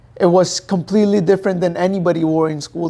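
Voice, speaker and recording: High for a man, his voice has a dark, mellow tone, fairly even intonation and a fairly quick pace. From Pakistan, Dubai, then New Jersey from age 11. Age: 20s. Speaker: professional boxer. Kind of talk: interview. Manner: casual, uses 'like' often.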